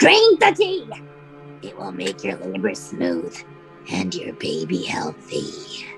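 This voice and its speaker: With clear music in the background, a put-on character voice at a low pitch goes along at a fairly slow pace, broken by long, frequent pauses. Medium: stage play. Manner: gruff, imperious.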